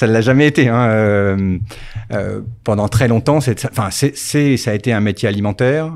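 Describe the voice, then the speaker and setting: A man at medium pitch keeps a moderate pace, his pitch varying in an ordinary way. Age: 50s. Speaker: company founder. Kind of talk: casual interview. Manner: halting, many repetitions.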